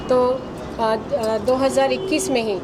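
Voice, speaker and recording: In a Bihari accent, a woman speaks at a high pitch and a moderate pace. The recording carries audible room echo and noticeable background noise. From India, Ballia (eastern Uttar Pradesh). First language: Bhojpuri (speaking Hindi). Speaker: film producer. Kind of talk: media interview. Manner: hesitant, frequent fillers.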